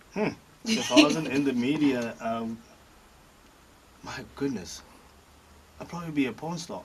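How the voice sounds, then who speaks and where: Over noticeable background noise, a man with fairly high pitch speaks at a fairly slow pace with lively intonation, big swings in loudness and long, frequent pauses. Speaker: comedian, radio personality, voice over artist. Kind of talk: interview answer. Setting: studio. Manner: casual, chatty, humorous.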